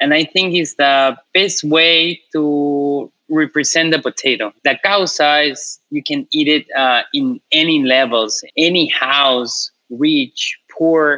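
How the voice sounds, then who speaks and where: A man's fairly high voice with ordinary pitch variation, a very slow pace and hardly any pauses. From Peru, Lima. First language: Spanish. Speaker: chef. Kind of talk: casual interview.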